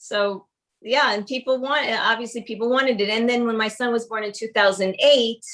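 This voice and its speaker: In a New York accent, a woman speaks at a moderate pace with a fairly high pitch and fairly even intonation. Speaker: cookbook author and baker. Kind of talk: casual interview chat. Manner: halting, many fillers and repeats.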